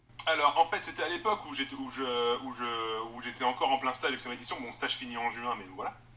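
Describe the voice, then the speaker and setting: Against noticeable background noise, a man of medium pitch talks with hardly any pauses, ordinary pitch variation and big swings in loudness. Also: fairly quick pace. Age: 20s. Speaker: assistant editor and online book fair organizer. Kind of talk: interview. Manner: halting.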